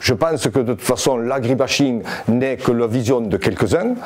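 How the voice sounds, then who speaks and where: A man's voice, medium in pitch with normal rise and fall, moves at an even, moderate speed while clear background noise runs underneath. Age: 60s. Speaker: farmers' union leader. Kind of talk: interview answers.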